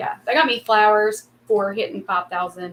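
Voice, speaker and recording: A woman with an Appalachian accent speaks at a fairly slow pace. Her pitch is fairly high. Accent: Appalachian Southern US. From Kentucky. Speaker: YouTuber. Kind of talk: casual chat. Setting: livestream.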